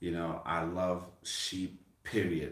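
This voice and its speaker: With a Brooklyn accent, a man speaks in a very deep, low voice. Audible echo fills the room around him. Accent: Brooklyn New York. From US, Brooklyn, New York City. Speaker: farmer and channel host. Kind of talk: casual chat.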